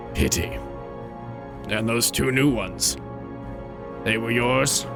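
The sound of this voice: A put-on character voice comes at a fairly slow pace with loud music in the background. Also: man, medium pitch for a man.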